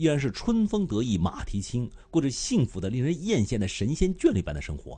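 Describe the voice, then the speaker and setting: This man speaks in a Beijing accent with a dark, mellow tone that is somewhat breathy. He talks at a fairly quick pace with very wide pitch swings. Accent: Beijing Mandarin. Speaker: live streamer. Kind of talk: casual live-stream commentary. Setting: live stream. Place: home room. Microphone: studio mic.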